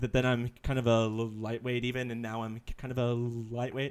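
A man speaks with an American accent. His voice sits at a medium pitch. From Texas. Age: 20s. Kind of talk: casual chat. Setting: live stream.

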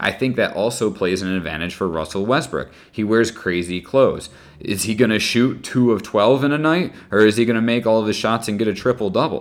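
An ordinary speaking voice from a man with an American accent, fairly low in pitch, at a fairly quick pace with lively intonation. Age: 20s. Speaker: teacher and sports podcaster. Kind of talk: solo opinion podcast.

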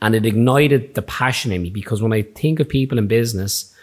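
With a Dublin accent, a man of medium pitch speaks at a moderate pace with ordinary pitch variation. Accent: Irish (Dublin). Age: 30s. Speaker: barber and podcast host. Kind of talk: casual chat.

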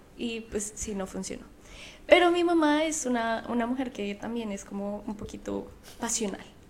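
A woman speaks at a moderate pace with a fairly high pitch and lively intonation. Her voice carries audible room echo. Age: 20s. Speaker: podcast co-host. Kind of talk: casual chat.

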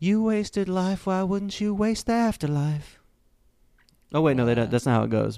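This voice has a dark, mellow tone and very wide pitch swings, moving at a moderate pace with very even loudness in a very clean recording with a silent background. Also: man, high pitch for a man. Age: 30s. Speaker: podcast co-host. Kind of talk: casual chat.

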